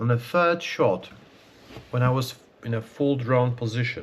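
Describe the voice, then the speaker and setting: A man with a Polish accent, very slow pace and fairly even intonation. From Poland. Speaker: archer and video creator. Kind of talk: casual vlog talk. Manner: halting, many fillers.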